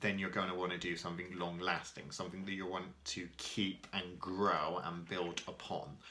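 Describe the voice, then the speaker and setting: Audible room echo surrounds a man with a very deep, low pitch and a bright, sharp tone. He speaks in a monotone, flat way at a moderate pace, with hardly any pauses. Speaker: spell-casting teacher. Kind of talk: tutorial. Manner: casual, with filler ums.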